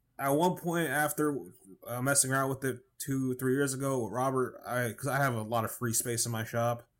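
In a very clean recording with a silent background, a man talks at a fairly quick pace. He has an unremarkable speaking voice, medium in pitch, with fairly even intonation. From New York. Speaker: podcast co-host, knife maker. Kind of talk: casual chat. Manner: fast, stumbling.

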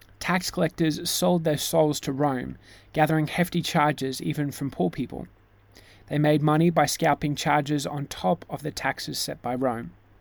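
The speaker has an Australian accent, heard on a very clean recording with a silent background. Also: man. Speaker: pastor. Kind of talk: sermon.

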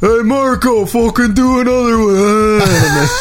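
With clear background noise, a man puts on a character voice at a high pitch. He speaks at a fairly slow pace. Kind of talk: casual, crude.

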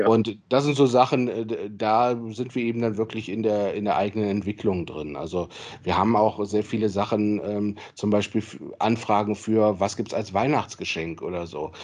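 With a normal speaking voice, a man talks at a moderate speed, his pitch fairly low and its variation ordinary. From Solingen, western Germany. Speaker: football club general manager and lawyer. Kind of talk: interview.

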